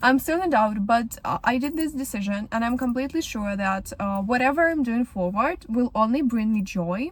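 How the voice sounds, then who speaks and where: A woman speaks in a Ukrainian accent at a fairly high pitch. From Ukraine, Kyiv. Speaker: vlogger. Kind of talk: casual podcast monologue. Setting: in a car. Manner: halting.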